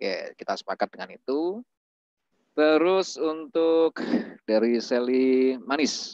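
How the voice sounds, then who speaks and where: The man speaks at a very slow pace with lively intonation. The sound is dry with no echo, and the background is quiet. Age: 30s. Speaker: webinar moderator. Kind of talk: online class moderation. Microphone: video call.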